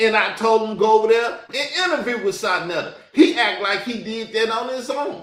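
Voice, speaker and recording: A man with a Southern US accent speaks at a moderate pace in a high voice. His tone is animated, with hardly any pauses. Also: ordinary pitch variation. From US South. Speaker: YouTube commentator. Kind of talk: reaction commentary.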